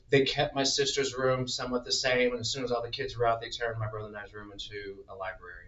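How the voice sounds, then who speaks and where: A man's medium-pitched voice with an American accent, very fast and with hardly any pauses, fairly even intonation, big swings in loudness, and noticeable background noise. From Indianapolis, Indiana. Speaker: podcast guest. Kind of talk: casual chat.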